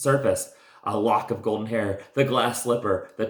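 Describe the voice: Someone does plain reading aloud.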